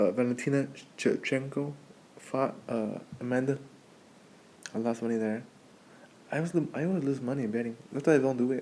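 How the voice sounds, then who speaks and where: A man at a medium pitch with a dark, mellow tone, fairly quick yet with long, frequent pauses, and ordinary pitch variation. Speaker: podcaster. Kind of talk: casual monologue. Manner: fast; halting.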